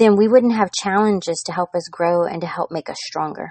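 A woman's normal speaking voice at medium pitch, with ordinary pitch variation and a moderate pace. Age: 40s. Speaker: podcast host and business teacher. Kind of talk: solo teaching podcast.

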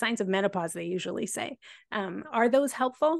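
At a fairly quick pace, a woman uses a normal speaking voice with lively intonation over a quiet background. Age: 40s. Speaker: podcast host. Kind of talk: interview.

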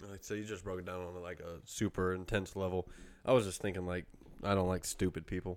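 The voice races at a very fast pace, with monotone, flat intonation and big swings in loudness. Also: man, very deep, low pitch for a man. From London. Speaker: podcast co-host. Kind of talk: casual chat.

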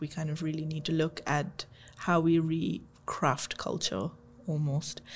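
Somewhat breathy delivery at a fairly slow pace, with fairly even intonation. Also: woman. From India and the UK. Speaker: manager in digital enablement. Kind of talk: podcast conversation.

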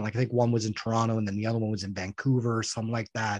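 Against a quiet background, a man speaks with a Canadian accent. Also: dry, close sound with no echo. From Canada. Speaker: professional wrestler. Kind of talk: podcast interview.

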